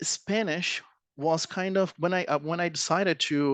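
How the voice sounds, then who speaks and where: Speaking with a Portuguese accent, a man with a fairly high pitch talks at a fairly slow pace and with fairly even intonation, in a dry, close sound with no echo against a quiet background. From Brazil. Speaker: presenter. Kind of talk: presentation. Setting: audience of students. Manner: halting.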